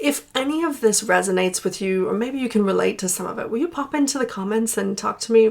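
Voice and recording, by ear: A woman's voice at medium pitch with vocal fry, a moderate pace and ordinary pitch variation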